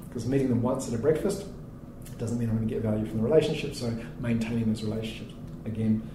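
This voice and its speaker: A man with a New Zealand accent at a very fast pace, with long, frequent pauses, audible room echo and noticeable background noise. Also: medium pitch for a man, ordinary pitch variation. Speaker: startup founder and CEO. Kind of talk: interview.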